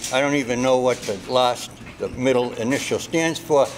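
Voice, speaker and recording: A man with a Boston accent at medium pitch and a moderate pace, with ordinary pitch variation and music in the background. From Somerville, Massachusetts. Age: 70s. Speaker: shopper interviewed. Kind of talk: street interview.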